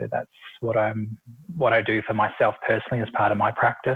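A man with a medium-pitched voice speaks in a New Zealand accent. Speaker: Reiki and meditation practitioner. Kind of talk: interview.

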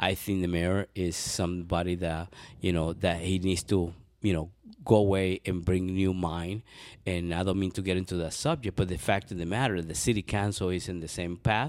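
A man speaks with a Spanish accent in a very deep, low pitch, at a moderate pace. His intonation is fairly even, and the recording is very clean with a silent background. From Venezuela. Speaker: city council candidate. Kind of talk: interview.

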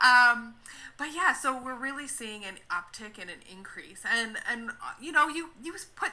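A woman with a fairly high voice and a Canadian accent at a moderate pace. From Canada. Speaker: social worker and ministry consultant. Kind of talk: interview.

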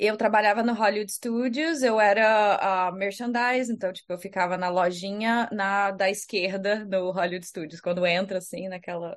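A woman speaks in an unremarkable speaking voice at medium pitch, with ordinary pitch variation. Her pace is moderate with hardly any pauses, over a quiet background. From Brazil, Rio de Janeiro. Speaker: astronomer. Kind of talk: casual chat.

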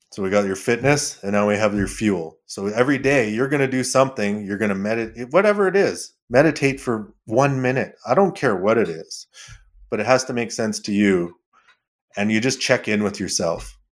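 A man talks at a fairly quick pace and a medium pitch. The recording is very clean, with a silent background. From Canada, southern Alberta (Lethbridge). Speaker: pipeline welder and inspector, wellness coach. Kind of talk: interview.

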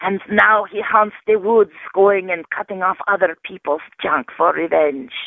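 A woman with an unremarkable speaking voice talks at a fairly slow pace and medium pitch, with ordinary pitch variation. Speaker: horror fan caller. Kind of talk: voicemail message. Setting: phone call.

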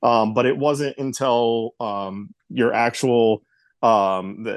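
Here is a plain, everyday voice. The pitch rises and falls in an ordinary way. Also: man. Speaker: host's husband.

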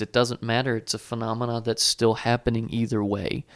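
At a fairly quick pace, a man with a normal speaking voice talks in a medium pitch, the sound dry and close with no echo in a very clean recording with a silent background. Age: 20s. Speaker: graduate student, podcast producer and co-host. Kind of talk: casual chat.

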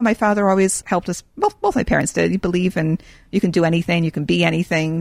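Very fast, a woman talks in a dry, close sound with no echo. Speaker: nonprofit founder. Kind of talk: casual interview.

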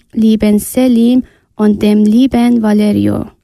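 A woman with a non-native accent speaks at a very slow pace in a dark, mellow tone. Her intonation is monotone and flat. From Iran (Afghan family). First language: not German (speaking German). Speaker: refugee, German learner. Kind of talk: reading a prepared text.

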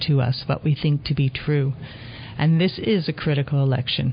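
With noticeable background noise behind her, a woman speaks at a fairly quick pace in a very deep, low pitch with ordinary pitch variation. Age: 60s. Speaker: elder activist. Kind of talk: interview. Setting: studio.

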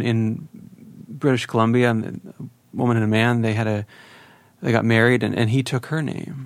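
This man talks at a fairly quick pace in a medium pitch. His is an unremarkable speaking voice. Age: 30s. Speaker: podcast host. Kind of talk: interview.

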